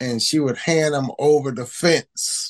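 A man with an American accent speaks at a moderate pace. He has an unremarkable speaking voice, fairly high in pitch. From Baltimore, Maryland (East Baltimore). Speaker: heritage foundation founder and author. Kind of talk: casual interview.

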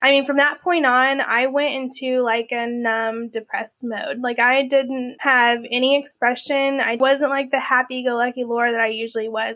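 A woman with an Oklahoma accent speaks in a high, monotone, flat voice at a moderate pace, with hardly any pauses. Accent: Oklahoma American. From Oklahoma City, US. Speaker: domestic abuse survivor. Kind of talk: testimony.

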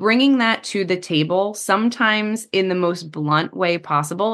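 Lively intonation and an American accent come through over a quiet background. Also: woman. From US, New Jersey. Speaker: psychotherapist. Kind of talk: interview. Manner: direct.

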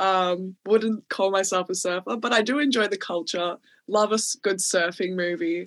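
Over a quiet background, a woman with an Australian accent speaks at a moderate pace and a medium pitch. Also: ordinary pitch variation. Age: 20s. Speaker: podcast host. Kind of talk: casual chat.

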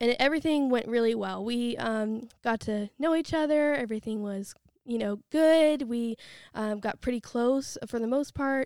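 A woman's fairly high voice, an ordinary speaking voice with an American accent, ordinary pitch variation and a fairly slow pace. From US, western Pennsylvania (near Pittsburgh). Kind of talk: testimony interview.

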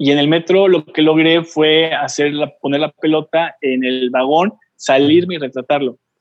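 A man with a fairly high pitch speaks at a fairly slow pace. His is an ordinary speaking voice with fairly even intonation. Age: 40s. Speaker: photographer and travel blogger. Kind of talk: casual interview.

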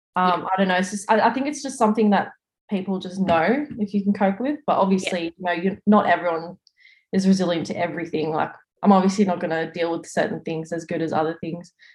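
A woman talks at a very fast pace with an Australian accent. Her voice is somewhat breathy. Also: medium pitch for a woman, ordinary pitch variation. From Australia, Sydney. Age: 20s. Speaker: police officer. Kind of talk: casual interview.

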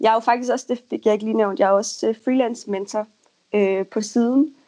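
The woman's voice sits fairly high, with a dark, mellow tone. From Denmark, North Jutland. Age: 20s. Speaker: freelance copywriter. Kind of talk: interview. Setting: Skype call. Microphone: choppy connection.

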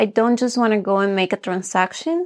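Here a woman speaks in a Spanish accent at a medium pitch with ordinary pitch variation. The sound is dry and close, with no echo and a quiet background. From Bolivia. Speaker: real estate agent. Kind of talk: interview.

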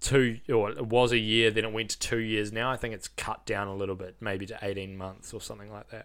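A man speaks with a New Zealand accent in a bright, sharp tone on a very clean recording with a silent background. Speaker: funeral director and podcast host. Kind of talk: casual chat.

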